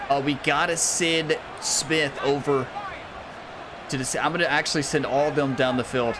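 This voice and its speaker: Over noticeable background noise, a man speaks at a moderate pace with long, frequent pauses. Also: fairly high pitch for a man. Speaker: gaming YouTuber. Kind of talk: gameplay commentary. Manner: animated.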